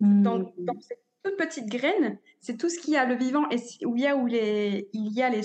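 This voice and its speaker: Moderate pace and lively intonation from a woman with a high pitch. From northern France, near Dunkirk. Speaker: cacao ceremony facilitator and masseuse. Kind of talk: interview conversation. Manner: halting, many fillers.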